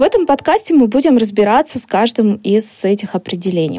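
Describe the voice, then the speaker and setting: Fairly high female voice with a dark, mellow tone at a fairly quick pace, dry and close with no echo. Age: 30s. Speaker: marketing podcast host. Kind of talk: educational podcast lesson.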